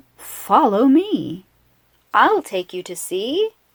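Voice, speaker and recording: In a put-on character voice, a woman speaks at a very slow pace. Her pitch is fairly high and swings very widely. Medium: read story.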